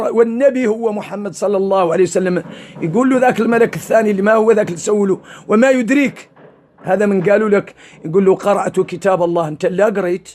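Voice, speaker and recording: A man with a Mauritanian accent speaks fairly quickly in a high pitch, with ordinary pitch variation. Noticeable background noise can be heard. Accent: Hassaniya Arabic. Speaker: Islamic preacher. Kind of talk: religious sermon.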